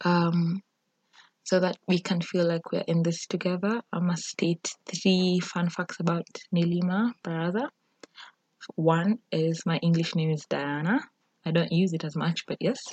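The somewhat breathy voice moves at a fairly slow pace with fairly even intonation, in a dry, close sound with no echo. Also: woman, fairly low pitch for a woman. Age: 20s. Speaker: podcast host. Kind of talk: solo podcast intro monologue. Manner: casual, hesitant with fillers.

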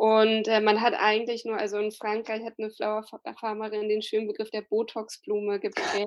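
A woman keeps a moderate pace with hardly any pauses, her fairly high-pitched voice monotone with flat intonation. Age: 30s. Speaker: flower gardener and slow flower advocate. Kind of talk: podcast interview.

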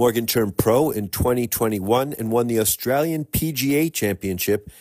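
A man's normal speaking voice at medium pitch, moderate pace and ordinary pitch variation, on a very clean recording with a silent background. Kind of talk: almanac announcer narration, reading dated golf history facts. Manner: steady, even, formal, briskly factual.

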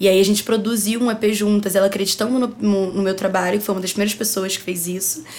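Over noticeable background noise, a woman of medium pitch races along at a very fast pace with hardly any pauses and fairly even intonation. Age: 20s. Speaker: advertising student and music marketing agency founder. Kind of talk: casual chat.

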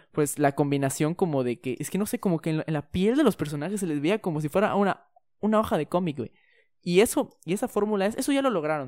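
A speaker with a Mexican accent talks at a fairly quick pace on a very clean recording with a silent background. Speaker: podcast co-host. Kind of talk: casual chat.

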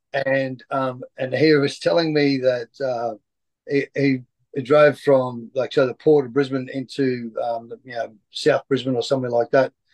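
A man's medium-pitched voice with an Australian accent, fairly slow and monotone with flat intonation, in a dry, close sound with no echo. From Queensland, Lockyer Valley. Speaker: former rugby player and coach. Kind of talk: interview. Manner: halting, many fillers.

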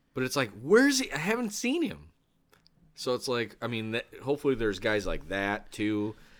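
On a very clean recording with a silent background, the speaker has an ordinary speaking voice. The American accent comes with lively intonation and a moderate pace. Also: man, medium pitch for a man. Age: 30s. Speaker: podcast host. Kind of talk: casual chat. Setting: bar.

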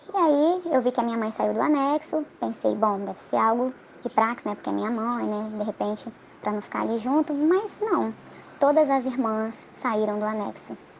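At a moderate pace, a woman speaks with ordinary pitch variation over noticeable background noise. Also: fairly high pitch for a woman. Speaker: former church member. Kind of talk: testimony. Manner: halting.

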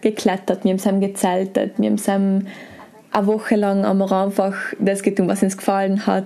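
The speaker talks at a moderate pace with a South Tyrolean accent. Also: woman. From South Tyrol, Brixen. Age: 20s. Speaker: former competitive climber and bike guide. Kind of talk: interview. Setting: hotel.

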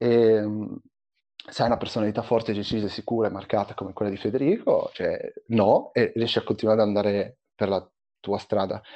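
In an ordinary speaking voice, a man talks at a moderate pace with ordinary pitch variation. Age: 20s. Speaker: software developer. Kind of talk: casual discussion.

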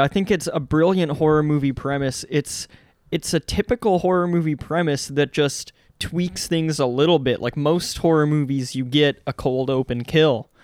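A man at a fairly high pitch, with ordinary pitch variation and a moderate pace, in a dry, close recording with no echo; an unremarkable speaking voice. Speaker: podcast co-host. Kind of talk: casual chat.

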